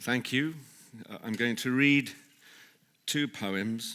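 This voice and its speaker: This man has an English accent. He speaks at a very slow pace. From England. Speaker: actor. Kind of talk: poetry reading. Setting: live event.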